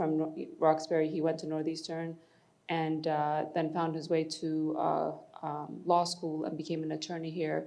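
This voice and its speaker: A woman speaks with a very deep, low pitch at a moderate pace. Audible room echo surrounds her voice. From Ethiopia, moved to Boston at 12. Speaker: tourism executive. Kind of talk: panel discussion.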